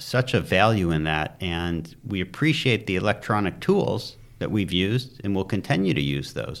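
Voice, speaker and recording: A man with an unremarkable speaking voice and an American accent, fairly low in pitch, with lively intonation at a moderate pace. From US Midwest, Detroit suburbs, Michigan. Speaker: commercial real estate broker. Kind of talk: interview. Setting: studio.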